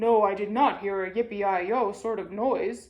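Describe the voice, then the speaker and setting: This is a put-on character voice with a fairly high pitch. It moves at a moderate pace. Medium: read story.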